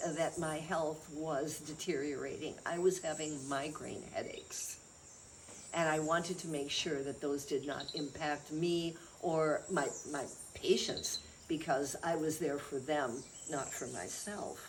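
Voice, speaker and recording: A woman with an American accent, very deep and low in pitch, at a very slow pace, with audible room echo. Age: 70s. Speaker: chiropractor and healer. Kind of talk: interview talk about health practice.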